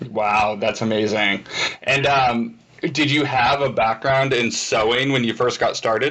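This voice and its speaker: A man's plain, everyday voice, medium in pitch, fairly slow, with fairly even intonation and very even loudness. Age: 30s. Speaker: video host. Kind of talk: interview.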